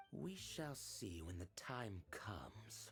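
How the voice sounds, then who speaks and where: A man's put-on, growling character voice, menacing in tone, fairly low in pitch, with lively intonation at a very slow pace over background music. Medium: video game. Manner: measured, cold, menacing.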